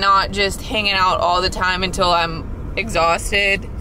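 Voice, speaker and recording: Over light background noise, a woman speaks at a fairly slow pace in a dry sound with no echo. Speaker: travel vlogger. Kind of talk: casual vlog chat. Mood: reflective, slightly nervous. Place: car. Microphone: phone near.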